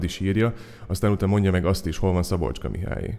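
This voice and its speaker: A man speaks at a very fast pace. His pitch is very deep and low, and his tone is dark and mellow. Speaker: poet and slammer. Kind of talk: spoken-word poetry essay performed to an audience. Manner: witty, ironic, rhetorical, building with wry humor.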